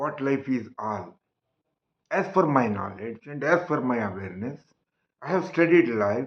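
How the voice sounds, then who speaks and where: A man's fairly high voice at a fairly slow pace, with very wide pitch swings. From Karnataka, India (Hassan district). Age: 70s. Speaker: retired lawyer sharing life reflections. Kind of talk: personal monologue. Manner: halting, with fillers.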